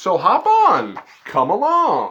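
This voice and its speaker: A man speaks in a put-on character voice. His pitch is extremely high. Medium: read story. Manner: confident, folksy, reassuring.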